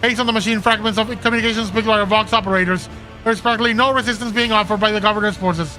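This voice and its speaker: Over clear music in the background, a man uses a put-on, robotic character voice at a high pitch and a very fast pace. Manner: flat with little inflection.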